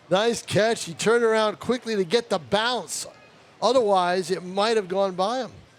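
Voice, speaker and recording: With ordinary pitch variation, a man's voice sits at a high pitch. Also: moderate pace. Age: 60s. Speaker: baseball color commentator. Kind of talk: live sports commentary with casual chat.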